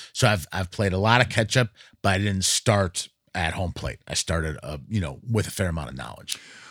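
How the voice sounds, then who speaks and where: Vocal fry colors lively intonation as the speaker, with an American accent, moves at a fairly quick pace, the sound dry and close with no echo on a very clean recording with a silent background. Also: man, very deep, low pitch for a man. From US Northeast, rural western Massachusetts. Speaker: jazz radio host and musician. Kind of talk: casual interview chat.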